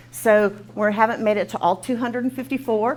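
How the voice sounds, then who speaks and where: Against noticeable background noise, a woman speaks with a Texan accent at a fairly high pitch. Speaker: nonprofit program coordinator running a training. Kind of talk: training session introduction. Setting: classroom with live audience and Zoom. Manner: fast; informal, filler words.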